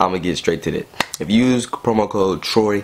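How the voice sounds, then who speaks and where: A fairly low-pitched man with noticeable background noise. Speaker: gaming youtuber. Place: home room.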